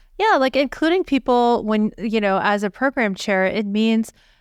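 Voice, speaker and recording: An ordinary speaking voice from a woman at a moderate pace, with ordinary pitch variation and a dry, close sound with no echo, on a very clean recording with a silent background. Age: 50s. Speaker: physician podcast co-host. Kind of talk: casual podcast discussion.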